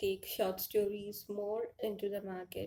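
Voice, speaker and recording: A woman with an Indian accent speaks at a medium pitch in a dark, mellow tone. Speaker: author and indie publisher. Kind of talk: conference presentation. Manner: halting, with fillers.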